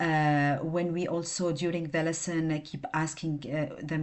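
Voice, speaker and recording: A woman speaks at a fairly slow pace in a non-native accent. Her pitch is fairly low, and her intonation is monotone and flat. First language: not English. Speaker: student presenting coursework. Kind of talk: class presentation. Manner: halting, many fillers.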